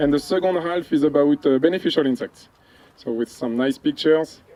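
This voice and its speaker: With a French accent, a man speaks using lively intonation. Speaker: entomology researcher. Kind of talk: field presentation. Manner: hesitant, many fillers.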